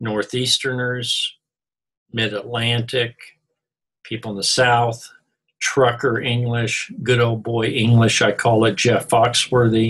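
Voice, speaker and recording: There are long, frequent pauses as a man with an Oklahoma accent talks at a very slow pace. His medium-pitched voice stays monotone and flat. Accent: central Oklahoma. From Missouri, US. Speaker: college instructor. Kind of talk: recorded lecture. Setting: online class recording.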